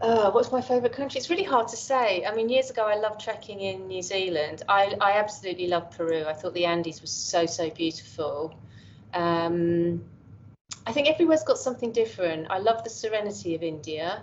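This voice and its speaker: A woman with an English accent speaks at a fairly quick pace, her medium-pitched voice full of lively intonation. Noticeable background noise runs behind her. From England. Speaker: professor. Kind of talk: interview conversation. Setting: call. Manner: halting.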